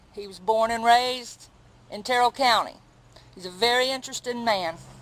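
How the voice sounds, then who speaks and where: This woman has a normal speaking voice with a fairly high pitch. She talks at a moderate pace with fairly even intonation. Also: big swings in loudness. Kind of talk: interview questions.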